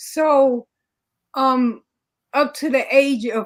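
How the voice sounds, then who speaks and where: A woman speaks in a New York accent with fairly even intonation. The recording is very clean with a silent background. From New York City. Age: 60s. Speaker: community social worker. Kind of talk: interview storytelling.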